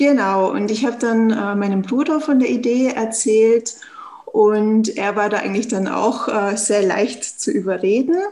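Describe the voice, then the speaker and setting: There is noticeable background noise as a woman talks at a fairly slow pace and fairly high pitch with ordinary pitch variation. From Austria, Tyrol. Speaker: startup founder. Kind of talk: interview. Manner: hesitant, frequent fillers.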